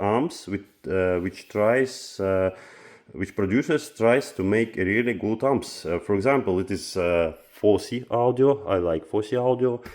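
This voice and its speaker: A man speaks with a non-native accent. His intonation is lively and his pace fairly slow. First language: Russian. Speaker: audio equipment reviewer. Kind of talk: product review vlog. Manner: halting, many filler sounds.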